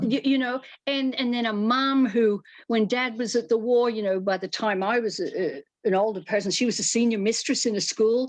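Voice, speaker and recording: This woman has an Australian accent and a fairly high pitch. She talks at a moderate pace with ordinary pitch variation. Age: 70s. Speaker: fashion and costume designer. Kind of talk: interview. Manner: animated.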